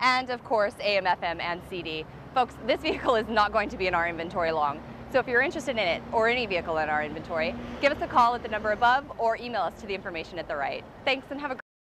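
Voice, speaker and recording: Noticeable background noise sits under a woman's voice. She talks at a very fast pace, and the sound is dry with no echo. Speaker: car salesperson. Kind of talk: sales presentation. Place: street.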